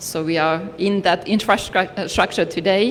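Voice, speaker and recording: Fairly even in intonation and medium in pitch, a woman speaks over noticeable background noise. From Finland. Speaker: development partner representative. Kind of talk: ceremony speech. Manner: formal.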